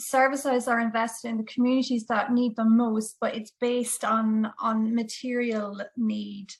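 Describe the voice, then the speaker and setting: A woman with a fairly high pitch and a somewhat breathy voice speaks at a fairly slow pace. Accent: Irish. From Ireland, Dublin. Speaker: audience member asking question. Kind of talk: webinar Q&A. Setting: video call.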